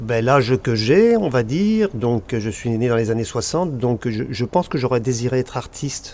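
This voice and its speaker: A man with a plain, everyday voice speaks at a moderate pace, his medium pitch carried by lively intonation. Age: 60s. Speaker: land and beach artist. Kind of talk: casual chat.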